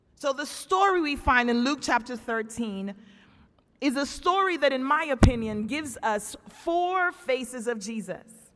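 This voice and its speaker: A woman's high-pitched voice, warm and animated in tone, with lively intonation and a fairly slow pace. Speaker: guest preacher and campus chaplain. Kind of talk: sermon. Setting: church pulpit with congregation. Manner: animated, call-and-response preaching; loud, emphatic, with warm humor.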